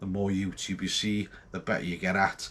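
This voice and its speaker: Here a man speaks with a North Welsh accent. His pace is moderate. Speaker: homebrewer vlogger. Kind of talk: casual vlog. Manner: hesitant, many ums and ahs.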